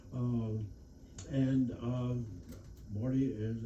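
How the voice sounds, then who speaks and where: Audible room echo and noticeable background noise fill the recording. A man with an American accent speaks in a monotone with flat intonation. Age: 80s+. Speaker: war veteran. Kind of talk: lecture. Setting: stage with audience. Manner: halting.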